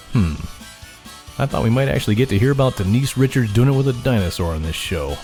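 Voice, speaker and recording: Music plays in the background as a man speaks at a fairly quick pace. His pitch swings very widely. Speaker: voice actor / podcast announcer. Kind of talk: comedic podcast intro and outro read. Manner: sarcastic, irreverent, comedic.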